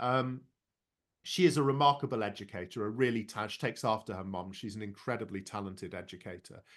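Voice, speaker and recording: Against a quiet background, a man with an English Midlands accent talks very fast in a fairly low voice, with ordinary pitch variation and big swings in loudness. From London. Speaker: education and leadership speaker. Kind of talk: casual interview.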